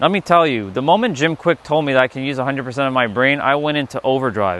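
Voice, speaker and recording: A man with lively intonation speaks at a very fast pace against noticeable background noise. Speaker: spiritual livestreamer. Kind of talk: livestream talk. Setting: livestream. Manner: casual, filler-heavy.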